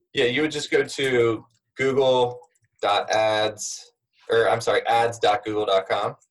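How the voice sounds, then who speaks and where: Somewhat breathy and very slow, a man speaks with fairly even intonation. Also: medium pitch for a man. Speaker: podcast host. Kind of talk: casual interview.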